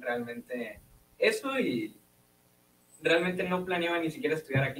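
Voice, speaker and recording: High-pitched male speech with very wide pitch swings and long, frequent pauses over light background noise. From Hermosillo, Sonora, Mexico; Sonora, Mexico. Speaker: physics student; guest. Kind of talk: casual interview. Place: studio. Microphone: studio mic.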